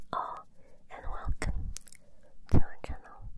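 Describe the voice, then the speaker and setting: A woman whispering. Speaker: ASMR creator. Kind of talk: soft-spoken ASMR chat. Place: home room. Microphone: handheld.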